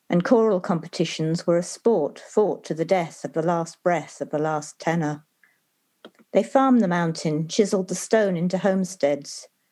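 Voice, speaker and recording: A woman's fairly low, dark, mellow voice at a moderate pace. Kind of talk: poetry reading.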